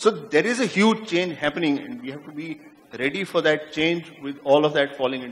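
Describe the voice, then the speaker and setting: With lively intonation and big swings in loudness, a man talks at a fairly quick pace in a fairly high pitch. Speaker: media executive. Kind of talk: panel discussion. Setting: stage with audience. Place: stage. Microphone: handheld.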